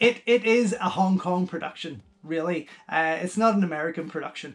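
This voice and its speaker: The speaker has a Northern Irish accent. The pace is moderate, with ordinary pitch variation. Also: man. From Northern Ireland. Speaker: film reviewer. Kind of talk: casual review monologue. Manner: hesitant, many fillers.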